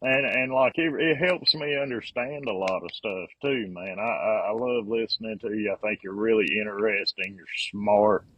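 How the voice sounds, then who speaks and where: A man with an American accent at a medium pitch, moderate pace and ordinary pitch variation, with big swings in loudness and hardly any pauses. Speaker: carpenter and construction business owner. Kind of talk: casual chat.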